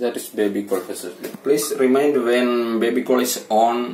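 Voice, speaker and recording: This man speaks with a non-native accent and ordinary pitch variation. There is light background noise. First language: not English. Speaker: telecom seller and consultant. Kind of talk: product tutorial narration. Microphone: phone near.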